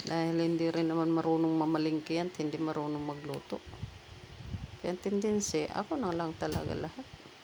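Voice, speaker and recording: Speaking at a fairly quick pace with fairly even intonation, a woman has a fairly low pitch and a plain, everyday voice. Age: 60s. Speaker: vlogger, widow. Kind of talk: casual vlog monologue. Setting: outdoors in her yard.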